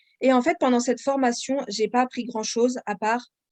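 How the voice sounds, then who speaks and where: The sound is dry and close with no echo, carrying a fairly even intonation. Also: woman. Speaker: author and audiobook narrator. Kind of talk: podcast interview. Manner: hesitant, many fillers.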